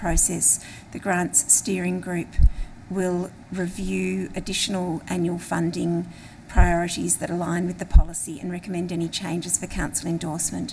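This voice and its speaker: Here a woman speaks with an Australian accent. Her pace is moderate. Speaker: local councillor. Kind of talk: council meeting motion reading; council debate speech. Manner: hesitant, many fillers.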